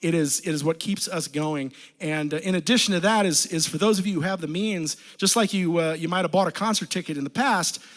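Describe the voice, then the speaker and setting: A loud man's voice, high in pitch, with ordinary pitch variation and a fairly quick pace. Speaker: a cappella group singer. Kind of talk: casual stage banter between songs. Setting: livestream from a basement. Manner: halting, many fillers.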